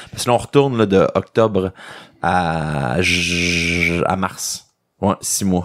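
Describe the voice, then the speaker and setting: A man's very deep, low voice with a Quebec accent, ordinary pitch variation and a very slow pace. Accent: Québécois. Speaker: magician. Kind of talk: podcast interview. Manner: casual, repetitive stammering.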